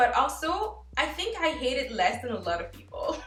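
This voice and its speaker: Noticeable background noise and audible room echo surround a woman with a French accent. She speaks at a moderate pace in an animated tone. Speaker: lifestyle YouTuber. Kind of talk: casual vlog talk to camera.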